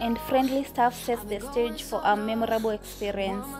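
Clear music sounds in the background. The speaker goes at a fairly slow pace with ordinary pitch variation. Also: woman. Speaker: vlogger narrating. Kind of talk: scripted review narration.

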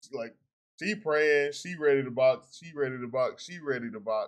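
The man talks at a moderate pace, and the background stays quiet. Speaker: reaction streamer. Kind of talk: casual reaction commentary. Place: home room.

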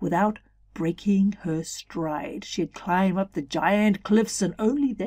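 The voice sounds natural. It is reading aloud.

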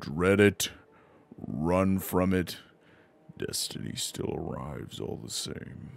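Very slowly, a man delivers a put-on character voice at a very deep, low pitch. His pitch swings very widely, and he takes long, frequent pauses. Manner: solemn, slow, menacing.

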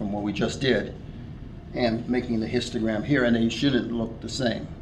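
Noticeable background noise sits behind a man. He speaks at a moderate pace with fairly even intonation. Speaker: teacher or instructor. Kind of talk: tutorial. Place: classroom.

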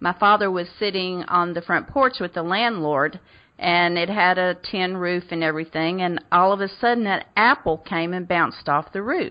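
This speaker, in a Southern US accent, barely pauses at all. Pitch moves up and down in an ordinary way. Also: woman, medium pitch for a woman, moderate pace. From US South. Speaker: radio host. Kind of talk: interview.

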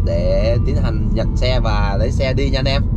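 There is loud background noise behind the man, and his voice sounds dry with no echo. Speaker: driver vlogger. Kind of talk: casual vlog chat. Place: car. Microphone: camera far.

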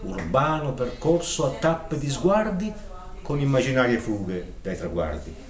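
Through light background noise and audible room echo, a man speaks at a fairly slow pace with very wide pitch swings. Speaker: poetry reciter. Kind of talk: reading aloud. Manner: declamatory. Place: shop. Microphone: camera far.

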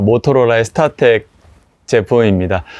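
Using lively intonation, a man speaks at medium pitch. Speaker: vintage product channel host. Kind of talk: product review monologue. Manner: hesitant with filler sounds.

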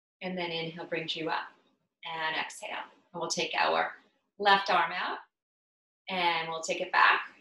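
A woman with a fairly low pitch speaks in a flat monotone, leaving long, frequent pauses. The background is quiet, though some room echo can be heard. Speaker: yoga instructor and health coach. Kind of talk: guided yoga session, calm instructional cueing with breath pauses. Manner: soft, slow, soothing, unhurried, gently coaxing; casual, conversational, occasionally halting with fillers. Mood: calm, soothing. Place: home room. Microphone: camera far.

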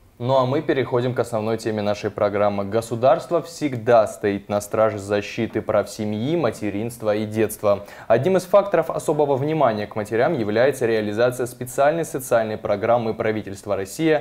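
With an unremarkable speaking voice, a man of medium pitch talks at a moderate pace with ordinary pitch variation and hardly any pauses. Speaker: TV presenter. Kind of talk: TV talk show. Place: studio. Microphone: lapel.

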